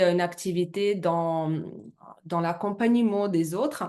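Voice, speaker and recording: In a Russian accent, a woman talks at a fairly slow pace and a medium pitch. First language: Russian (speaking French). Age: 30s. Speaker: network marketing presenter. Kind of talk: business presentation. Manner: halting, many hesitations.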